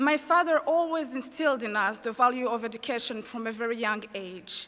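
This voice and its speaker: With a French accent, a woman speaks at a fairly quick pace in a high pitch, her tone bright and sharp and her pitch varying in an ordinary way. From Rwanda. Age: 20s. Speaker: student commencement speaker. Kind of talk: commencement speech. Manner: formal.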